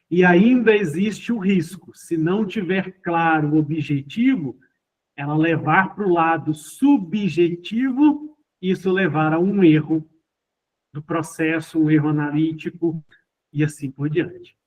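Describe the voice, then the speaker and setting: Very slowly, a man speaks at high pitch with ordinary pitch variation. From Minas Gerais, Brazil (Ibiá). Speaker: teacher. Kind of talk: online lecture. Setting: remote online class.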